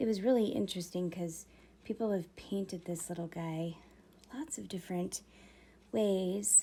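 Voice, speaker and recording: A soft-spoken woman talks in a dark, mellow tone at a fairly slow pace. Her ordinary pitch variation is broken by long, frequent pauses. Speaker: miniature painting streamer. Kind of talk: live stream casual chat. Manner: quiet, soft-spoken.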